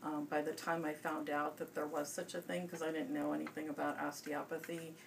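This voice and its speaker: A woman's very deep, low voice in a flat monotone with an American accent, over noticeable background noise. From US Midwest, Chicago area. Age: 50s. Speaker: pediatrician. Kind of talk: interview. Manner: hesitant, many fillers.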